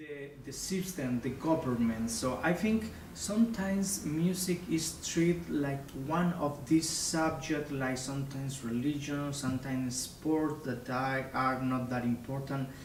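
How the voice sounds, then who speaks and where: With a Spanish accent, a man at a fairly high pitch talks at a fairly slow pace with hardly any pauses, with audible room echo and noticeable background noise. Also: ordinary pitch variation. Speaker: opera singer. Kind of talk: interview.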